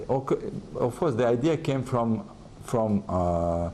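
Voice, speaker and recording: A man's dark, mellow tone at a medium pitch and a fairly slow pace. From France. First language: French and Russian. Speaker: advertising executive. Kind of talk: interview. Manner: halting.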